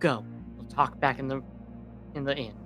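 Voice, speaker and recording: Over clear background music, a man puts on a character voice at a medium pitch and a moderate pace. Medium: actual play. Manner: terse, commanding.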